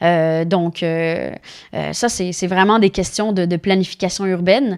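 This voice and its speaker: Her voice sits fairly low, and a woman keeps her intonation fairly even. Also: fairly slow pace. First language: Spanish (speaking French). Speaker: politician. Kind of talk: interview. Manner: halting.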